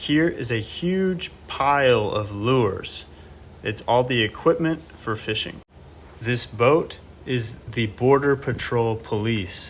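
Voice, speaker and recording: Very slow, somewhat breathy speech from a man with an American accent, medium pitch and ordinary pitch variation. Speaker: English teacher. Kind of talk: slow, clear English learning vlog. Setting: outdoors. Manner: slow, clear.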